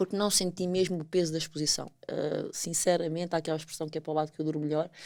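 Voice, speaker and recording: A woman's very fast, monotone, flat delivery at a fairly low pitch with a European Portuguese accent. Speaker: podcast co-host. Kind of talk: casual chat.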